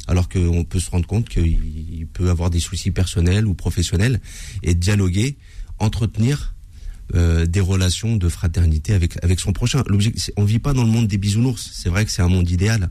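At a moderate pace, a man with a very deep, low voice speaks at a very even loudness and ordinary pitch variation, leaving long, frequent pauses. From France, Paris suburbs (Seine-et-Marne). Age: 40s. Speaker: mosque association president. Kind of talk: radio interview. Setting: radio studio.

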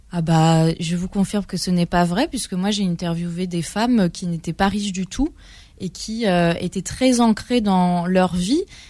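At a fairly slow pace, a woman speaks at medium pitch in a dark, mellow, somewhat breathy tone with ordinary pitch variation, recorded very cleanly against a silent background. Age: 30s. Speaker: journalist and literary critic, first-time author. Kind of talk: radio interview.

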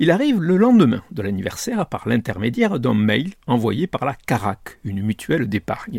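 Somewhat breathy and at a medium pitch, a man speaks with very wide pitch swings in a dry, close sound with no echo. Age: 60s. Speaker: newspaper columnist. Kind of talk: scripted commentary.

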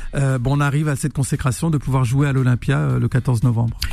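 A man speaks at a moderate pace in an unremarkable speaking voice, his pitch fairly high for a man and his intonation fairly even. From northern France, Roubaix. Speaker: musician. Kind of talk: radio interview.

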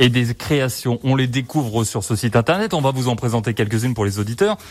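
In a very clean recording with a silent background, a man speaks at a fairly quick pace and a medium pitch, with ordinary pitch variation. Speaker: local radio host. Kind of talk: radio interview. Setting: radio studio.

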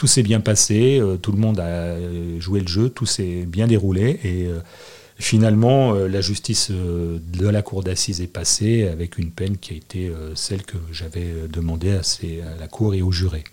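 Speaking at a fairly slow pace, a man with a fairly low pitch sounds somewhat breathy and shows ordinary pitch variation. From Annecy, Haute-Savoie, France. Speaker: public prosecutor. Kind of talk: interview.

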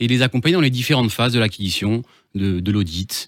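A man's fairly quick speech, with ordinary pitch variation, is recorded very cleanly over a silent background. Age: 30s. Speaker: business transfer consultant. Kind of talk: radio interview. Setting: radio studio. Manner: hesitant, with repetitions.

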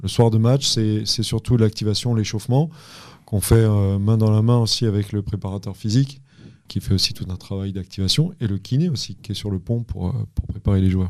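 On a very clean recording with a silent background, a man with a fairly low pitch speaks at a moderate pace in a calm tone with ordinary pitch variation. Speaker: assistant basketball coach. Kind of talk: casual interview.

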